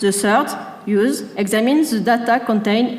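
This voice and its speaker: There is noticeable background noise and audible room echo as a woman speaks at a moderate pace in a fairly high pitch. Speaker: researcher presenting a project. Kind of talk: conference presentation read from text. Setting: stage with audience. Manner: reading from script, halting.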